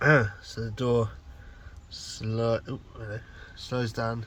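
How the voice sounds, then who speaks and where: A man speaks in a soft-spoken way. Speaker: van converter doing DIY repairs. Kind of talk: casual DIY vlog chat. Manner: soft-spoken, quiet.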